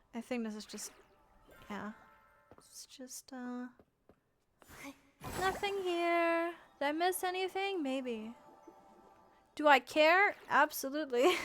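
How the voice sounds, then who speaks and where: A woman's high voice at a very slow pace, with big swings in loudness, long and frequent pauses, and music in the background. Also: lively intonation. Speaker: VTuber streamer. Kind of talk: casual livestream chat while gaming. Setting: livestream. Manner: stammering, repeats words.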